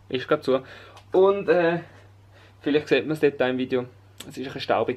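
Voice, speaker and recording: The speaker talks at a very fast pace with a Swiss accent. Music plays in the background. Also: man. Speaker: vlogger. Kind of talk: casual talk to camera.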